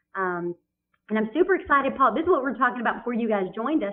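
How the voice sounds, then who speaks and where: A woman speaks with a Southern accent. Her pitch swings very widely. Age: 40s. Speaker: business consultant and author. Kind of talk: webinar chat. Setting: online webinar. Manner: animated.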